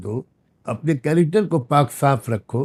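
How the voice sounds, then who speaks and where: A man with a fairly high, somewhat breathy voice uses lively intonation, the sound dry and close with no echo. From India. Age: 70s. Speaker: Islamic scholar. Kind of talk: video message. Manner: earnest.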